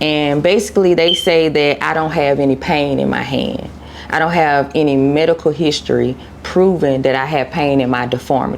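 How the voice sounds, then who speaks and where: A woman with an American accent speaks at a moderate pace, her pitch very deep and low with ordinary variation. Noticeable background noise is present. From Cobb County, Georgia, US South. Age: 30s. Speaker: content creator. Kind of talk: interview.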